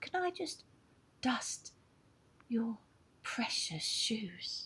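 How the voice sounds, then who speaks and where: A female-sounding put-on character voice sits at a fairly high pitch with very wide pitch swings. The pace is very slow. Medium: read story. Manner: sly, ingratiating.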